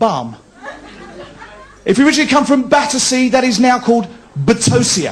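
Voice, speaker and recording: A man's extremely high-pitched voice at a very fast pace, with ordinary pitch variation and noticeable background noise. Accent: Cockney. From London. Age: 40s. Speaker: stand-up comedian. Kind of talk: live stand-up comedy set.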